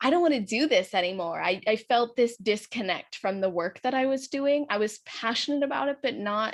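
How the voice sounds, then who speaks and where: A woman with an American accent talks at a fairly quick pace and a fairly high pitch, her intonation lively and hardly any pauses between words. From Southern California. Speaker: mindset coach and author. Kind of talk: interview podcast.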